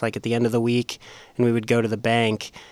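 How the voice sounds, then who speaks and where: A man's medium-pitched voice with an American accent and monotone, flat intonation. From Las Vegas, Nevada. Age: 20s. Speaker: podcast producer. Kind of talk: casual chat.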